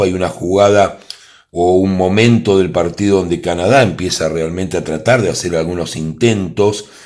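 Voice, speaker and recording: A man with a very deep, low pitch speaks at a moderate pace on a very clean recording with a silent background. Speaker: tarot reader and football predictor. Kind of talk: tarot prediction monologue. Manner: animated.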